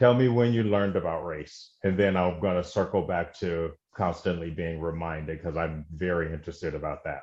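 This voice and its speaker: A very deep-voiced man in an American accent, fairly quick with hardly any pauses, ordinary pitch variation and a quiet background. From Mississippi. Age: 40s. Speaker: podcast host. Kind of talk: casual interview.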